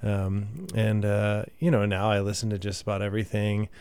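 A man with an American accent speaks in a fairly low, monotone voice with flat intonation. The recording is very clean, with a silent background. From Texas, Midland and Katy. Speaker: singer-songwriter. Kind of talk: casual interview. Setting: radio studio.

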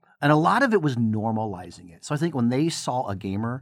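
With lively intonation and a medium pitch, a man talks at a moderate pace in an ordinary speaking voice on a very clean recording with a silent background. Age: 40s. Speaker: professor. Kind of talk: interview.

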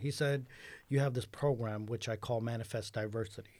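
A man's dark, mellow voice in a New York accent, at a moderate pace, on a very clean recording with a silent background. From New York City. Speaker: newspaper editor and educator. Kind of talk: radio interview. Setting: radio studio.

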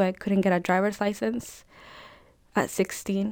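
A woman speaks with a strong Spanish accent. Her intonation is fairly even. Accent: thick Spanish. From El Salvador. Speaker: undocumented immigrant student. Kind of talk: personal testimony interview.

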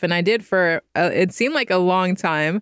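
On a very clean recording with a silent background and a dry, close sound with no echo, a woman with a fairly low pitch speaks at a moderate pace in an unremarkable speaking voice. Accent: American. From Stockton, California. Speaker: actor and stand-up comedian. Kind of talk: casual interview.

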